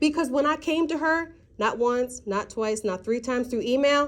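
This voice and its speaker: This voice is loud, with ordinary pitch variation. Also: woman. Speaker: parent at school meeting. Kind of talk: heated argument.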